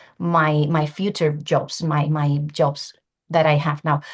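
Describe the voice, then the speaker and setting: Against a quiet background, a woman with a Spanish accent talks at a very slow pace. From Spain, Valencia. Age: 40s. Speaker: language teacher, webinar speaker. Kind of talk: webinar presentation.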